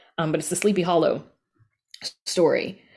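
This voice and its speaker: A woman with a Southern US accent at a very fast pace, with ordinary pitch variation, on a very clean recording with a silent background. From US South. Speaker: audio drama podcast creator. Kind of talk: casual interview.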